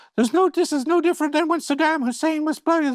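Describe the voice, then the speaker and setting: A man's squeaky falsetto in a put-on character voice, extremely high in pitch and very fast. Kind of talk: mocking imitation of his tall producer.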